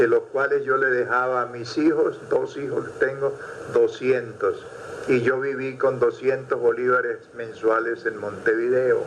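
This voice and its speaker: A man talks fairly slowly while noticeable background noise continues behind him. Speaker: musician and folklore researcher. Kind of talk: interview answer.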